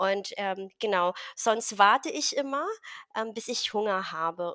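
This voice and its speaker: Her pitch fairly high for a woman, she speaks at a fairly slow pace with ordinary pitch variation. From Philippines, rural village. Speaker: carnivore diet success story guest. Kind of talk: personal testimony interview. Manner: halting, many fillers.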